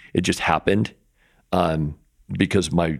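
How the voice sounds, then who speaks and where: Over a very clean recording with a silent background, a man with an American accent talks at a moderate pace. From Utah. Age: 50s. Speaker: rock climber and photographer. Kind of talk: casual interview. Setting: climbing company warehouse.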